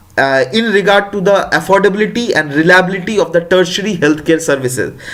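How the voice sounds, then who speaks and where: A man at a high pitch with lively intonation and a fairly quick pace, amid noticeable background noise and audible room echo. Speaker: exam prep teacher. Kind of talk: lecture. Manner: halting, many fillers.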